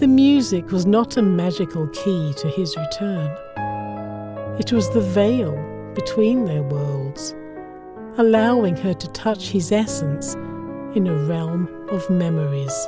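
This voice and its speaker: Music plays in the background as a woman with a British accent speaks at a very slow pace. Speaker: voiceover artist and narrator. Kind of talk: audiobook short story narration.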